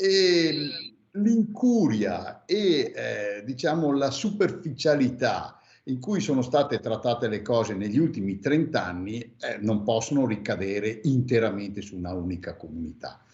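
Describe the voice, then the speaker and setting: Here a man talks at a fairly slow pace, his voice somewhat breathy. His pitch swings very widely. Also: medium pitch for a man. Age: 60s. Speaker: former mayor. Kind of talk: radio interview. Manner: hesitant, many fillers.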